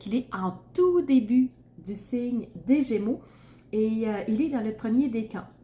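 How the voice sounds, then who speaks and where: A woman's somewhat breathy voice with a Quebec accent, fairly high in pitch, with a dark, mellow tone, lively intonation and a very slow pace. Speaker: tarot reader and astrologer. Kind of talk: astrology reading to camera. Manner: casual, with frequent fillers.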